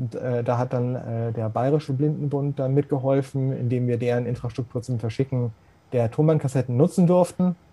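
A man speaks at medium pitch and a moderate pace, somewhat breathy. His tone is dark and mellow, with fairly even intonation. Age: 40s. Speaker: accessibility expert, blind since birth. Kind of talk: interview.

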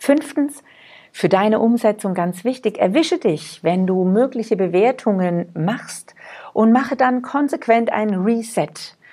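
Lively intonation marks this woman's fairly high-pitched voice as she talks at a fairly slow pace. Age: 40s. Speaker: podcast host. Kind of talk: motivational monologue. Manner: animated.

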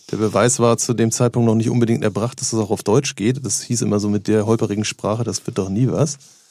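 A man at a medium pitch, talking at a very fast pace in a dark, mellow tone. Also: fairly even intonation. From northern Germany, Hamburg area. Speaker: radio DJ. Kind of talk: casual chat.

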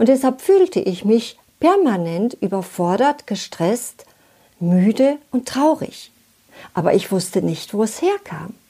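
Very slowly, a woman speaks in a somewhat breathy, fairly high-pitched voice with a dark, mellow tone and very wide pitch swings. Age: 60s. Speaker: relationship coach. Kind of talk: scripted talk to listener.

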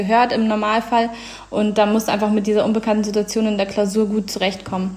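Through noticeable background noise, a woman talks at medium pitch. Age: 20s. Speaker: law graduate. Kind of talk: interview.

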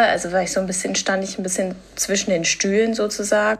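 The speaker is a woman at medium pitch. Behind her there is noticeable background noise. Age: 20s. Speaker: patient sharing her story. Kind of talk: testimony.

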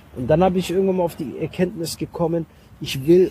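A man's fairly high voice with a dark, mellow tone. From Germany, Mönchengladbach area. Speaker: comedian and actor. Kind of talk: casual interview. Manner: hesitant with many fillers.

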